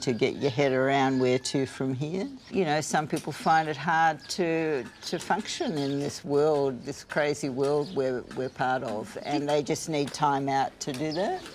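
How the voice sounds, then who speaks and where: A woman in an Australian accent, her pitch very deep and low, her pace fairly slow. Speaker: retired psychologist hosting pilgrims. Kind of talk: casual conversation.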